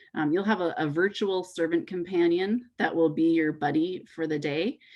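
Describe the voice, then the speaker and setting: A woman talks in a normal speaking voice, fairly low in pitch. Her pace is moderate and her pitch variation ordinary. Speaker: youth event director. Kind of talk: online info session presentation.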